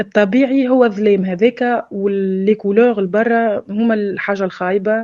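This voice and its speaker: With a Tunisian accent, a woman speaks in a dark, mellow tone and fairly even intonation. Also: dry, close sound with no echo. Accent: Tunisian Arabic with French loanwords. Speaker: former drug addict sharing experience. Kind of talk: personal testimony. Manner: hesitant, many filler sounds.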